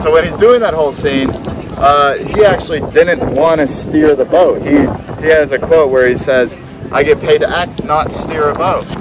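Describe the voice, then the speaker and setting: Against noticeable background noise, a man speaks at a moderate pace with ordinary pitch variation in a dry sound with no echo. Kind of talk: storytelling tour guide chat. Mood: cheerful, amused. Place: boat.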